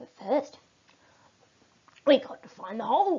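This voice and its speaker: A woman's put-on character voice, high-pitched and grumpy, at a moderate pace. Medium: read story. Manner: grumpy, snappish.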